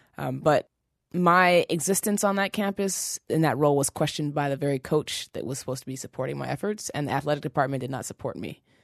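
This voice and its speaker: Very fast speech from a woman with a very deep, low pitch and vocal fry, with a dry, close sound with no echo and a quiet background. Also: ordinary pitch variation. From Seattle, Washington. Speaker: fitness trainer. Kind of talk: interview.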